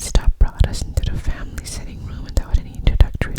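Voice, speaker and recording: Someone whispers at a very fast pace. Noticeable background noise runs underneath. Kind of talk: ASMR whispered book reading. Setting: studio, close to microphone. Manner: whispered, close-mic.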